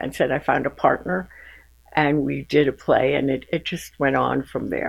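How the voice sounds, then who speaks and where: A woman with a New York accent talks at a moderate pace. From Bronx, New York. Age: 80s+. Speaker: retired teacher and playwright. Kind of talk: interview answer.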